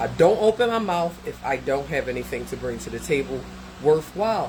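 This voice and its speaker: A man moves along at a fairly quick pace while noticeable background noise carries on. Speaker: content creator reacting to a therapist's video. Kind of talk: reaction commentary monologue. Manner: casual, conversational.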